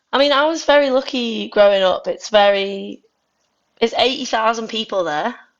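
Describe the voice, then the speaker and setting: With a Manx accent and lively intonation, a woman speaks at a fairly high pitch against a quiet background. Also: moderate pace. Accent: soft Scouse-like Manx. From Isle of Man. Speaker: indie musician. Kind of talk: casual interview chat. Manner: chatty, many fillers.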